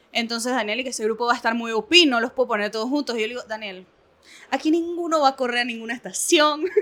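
In a very clean recording with a silent background, a woman speaks at a very fast pace with a high pitch, a bright, sharp tone and ordinary pitch variation. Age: 20s. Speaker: NGO worker. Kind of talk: casual chat.

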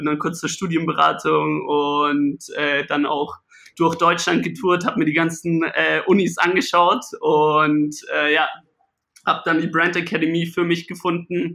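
Fairly slow, fairly even speech with a bright, sharp tone. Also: man. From Bavaria, Tegernsee area. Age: 20s. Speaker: gin company co-founder. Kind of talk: casual interview.

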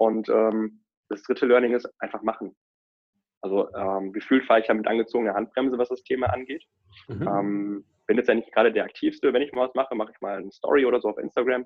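Very fast male speech with fairly even intonation. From Rhineland, Germany. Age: 20s. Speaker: financial advisor. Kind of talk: interview.

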